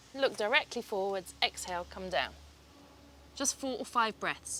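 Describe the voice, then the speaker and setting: Her voice is fairly high, with a bright, sharp tone and lively intonation. This woman sounds calm and speaks at a fairly slow pace. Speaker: yoga teacher. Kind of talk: guided yoga class instruction. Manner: calm, instructive.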